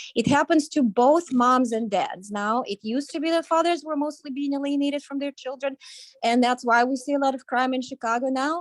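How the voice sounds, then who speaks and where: Dry and close with no echo, a very clean recording with a silent background captures a woman speaking at a high pitch and a fairly quick pace with ordinary pitch variation. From Ukraine. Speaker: parents' advocacy co-founder. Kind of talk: talk show statement.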